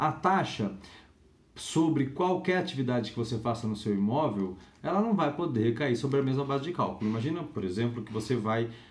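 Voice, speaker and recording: A man speaks at a fairly quick pace in a medium-pitched, somewhat breathy voice with lively intonation, and the room echo is audible. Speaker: law lecturer. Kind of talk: lecture. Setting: home recording.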